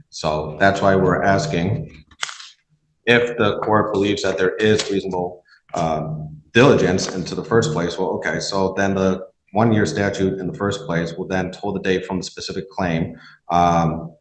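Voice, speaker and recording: The speech has fairly even intonation, with audible room echo. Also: man, very deep, low pitch for a man. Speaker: defense attorney. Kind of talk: courtroom argument. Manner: fast.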